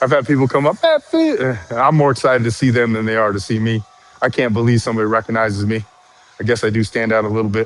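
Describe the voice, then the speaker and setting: A man talking very fast with fairly even intonation over noticeable background noise. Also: medium pitch for a man. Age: 50s. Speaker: fitness content creator. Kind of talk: live stream chat. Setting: live stream. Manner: rhythmic, a bit slangy; halting, repeats words.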